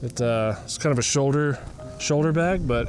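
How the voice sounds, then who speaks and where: A man speaks with music in the background. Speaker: photographer and vlogger. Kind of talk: casual vlog narration. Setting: outdoors. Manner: quiet, gentle.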